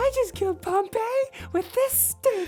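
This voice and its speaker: Over music in the background, a put-on character voice squeaks at an extremely high pitch. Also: moderate pace. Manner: dramatic, playful.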